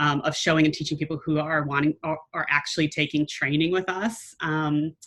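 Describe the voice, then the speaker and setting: A woman's very deep, low voice with an American accent, delivered in a flat monotone. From United States. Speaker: entrepreneur. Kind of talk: interview. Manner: loud.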